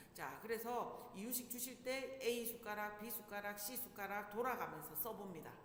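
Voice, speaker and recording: Against noticeable background noise and audible room echo, a woman speaks in an animated tone at a moderate pace. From Busan, South Korea. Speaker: parenting instructor. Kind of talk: lecture. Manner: conversational, animated.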